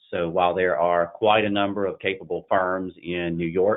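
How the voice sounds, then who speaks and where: The delivery comes at a moderate pace. It carries a Southern US accent. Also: man. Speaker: investment banking partner. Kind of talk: business webinar presentation. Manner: halting, frequent fillers.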